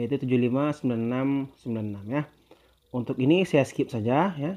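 With a plain, everyday voice, a man talks at a fairly high pitch, his pitch varying in an ordinary way. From Indonesia, West Sumatra. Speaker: YouTuber. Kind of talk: tutorial.

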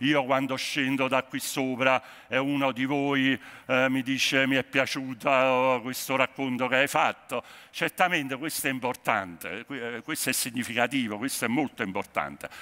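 A bright, sharp tone moves at a moderate pace with fairly even intonation. Behind it, the background is quiet. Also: man, medium pitch for a man. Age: 60s. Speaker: sociologist; conference speaker. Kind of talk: keynote speech. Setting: stage with audience. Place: hall.

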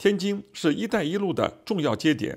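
On a very clean recording with a silent background, a man speaks at high pitch and a moderate pace with lively intonation. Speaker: news reporter. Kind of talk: news reading.

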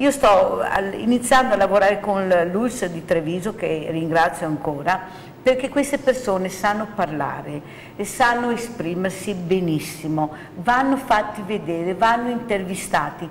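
Against light background noise, a woman with a medium pitch speaks fairly slowly with lively intonation. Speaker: charity fund organizer and field presenter; presenter. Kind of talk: emotional appeal on TV talk show. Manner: animated. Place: studio. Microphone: lapel.

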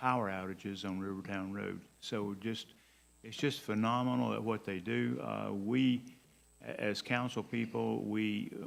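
Against audible room echo, a man with a Southern US accent talks at a fairly slow pace in a fairly low pitch with lively intonation. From US South, Georgia (Fairburn). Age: 70s. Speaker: city council member. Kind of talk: council meeting remarks.

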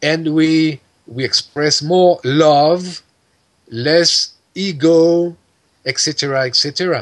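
A man with a French accent speaks very slowly, with fairly even intonation. Long, frequent pauses fall against a quiet background. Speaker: esoteric teacher. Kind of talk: interview, spiritual explanation; interview answer. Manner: halting, searching for words. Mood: calm, earnest explanation. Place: home room. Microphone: video call.

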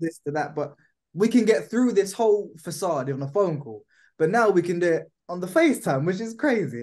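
Over a quiet background, a man with a British accent talks at a moderate pace in a high pitch with lively intonation. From UK. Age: 20s. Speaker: actor. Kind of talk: casual interview. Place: home room. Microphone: video call.

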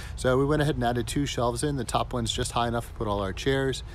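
A man talks at a very fast pace. The sound is dry with no echo, over light background noise. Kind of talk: casual tour narration. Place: street. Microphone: phone near.

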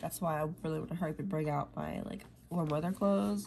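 A woman with a very deep, low voice speaks at a fairly quick pace, her tone dark, mellow and somewhat breathy, with ordinary pitch variation. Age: 30s. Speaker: planner vlogger. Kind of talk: casual vlog, plan-with-me chat. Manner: casual, chatty, rambling.

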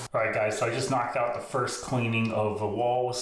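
Monotone, flat intonation with audible room echo. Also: man. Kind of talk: tutorial. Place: bathroom.

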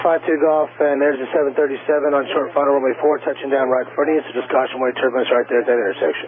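Talking at a very fast pace, a man keeps his intonation fairly even. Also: medium pitch for a man.

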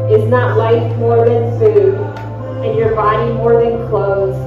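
Very slow speech with strong room echo and clear music in the background. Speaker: fitness instructor. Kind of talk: scripture reading during class. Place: studio.

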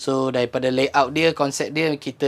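The speech moves at a moderate pace with fairly even intonation. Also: man.

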